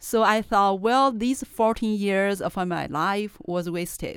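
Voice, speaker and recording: A woman with a Chinese accent, fairly high in pitch with ordinary variation, at a fairly slow pace, on a very clean recording with a silent background. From China. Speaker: professor and journal editor. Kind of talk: casual interview chat.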